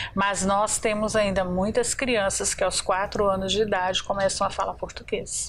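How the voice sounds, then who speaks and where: A woman's monotone, flat delivery at very even loudness. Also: medium pitch for a woman, moderate pace, hardly any pauses. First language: Pomeranian (speaking Portuguese). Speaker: community representative. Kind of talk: TV talk show interview.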